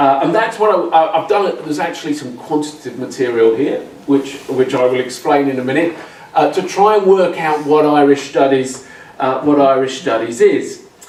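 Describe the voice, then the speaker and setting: Over noticeable background noise and audible room echo, a man with an English accent speaks at a moderate pace, with a fairly high pitch and ordinary pitch variation. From England. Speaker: academic, social anthropologist. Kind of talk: conference talk. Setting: symposium with audience. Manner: halting, many fillers and repetitions.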